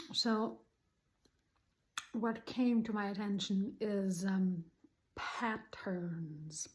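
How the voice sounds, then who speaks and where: The voice belongs to a woman at medium pitch. It sounds somewhat breathy. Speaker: spiritual channel host. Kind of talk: casual spiritual talk to camera. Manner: hesitant, many ums.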